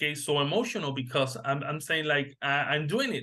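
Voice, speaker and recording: A man with a Spanish accent speaks in a fairly high voice with a bright, sharp tone. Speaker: massage therapist. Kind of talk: interview. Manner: halting.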